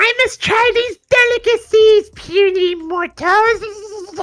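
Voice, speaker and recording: In a put-on character voice, the speaker goes at a very slow pace with an extremely high pitch. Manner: archaic, haughty, menacing.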